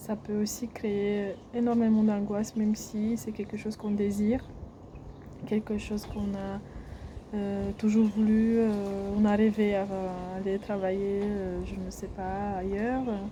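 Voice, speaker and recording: At a very slow pace, a woman speaks at medium pitch. Her intonation stays monotone and flat. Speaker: health vlogger. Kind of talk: casual vlog monologue. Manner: hesitant, many filler sounds.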